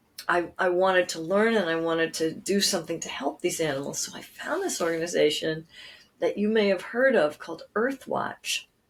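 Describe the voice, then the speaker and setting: Here a woman with an American accent has a normal speaking voice, medium pitch, ordinary pitch variation and a moderate pace. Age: 60s. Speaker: nature writer and author. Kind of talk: interview conversation.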